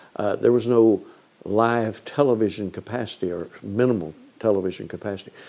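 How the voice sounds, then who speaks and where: At a moderate pace, a man with an ordinary speaking voice talks in a fairly low pitch with fairly even intonation. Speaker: newsman / radio and TV news reporter recalling the 1966 campus shooting. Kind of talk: interview answer, recounting a historical event. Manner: reflective, measured, narrative.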